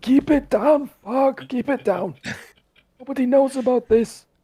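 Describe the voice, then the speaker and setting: The speaker uses a quiet, put-on character voice with a panicked tone. The pitch is fairly high and the pace fairly slow. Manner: panicked, hushed.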